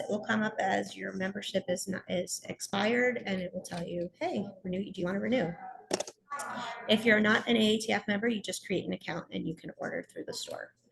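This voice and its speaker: A woman's fairly quick speech competes with noticeable background noise. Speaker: contest support coordinator. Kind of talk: webinar presentation. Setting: at a conference, video call.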